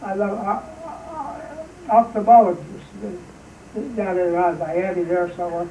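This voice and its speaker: At a moderate speed and with typical pitch movement, a man talks while distinct background noise carries on. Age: 80s+. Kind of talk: interview answer. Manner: hesitant, rambling.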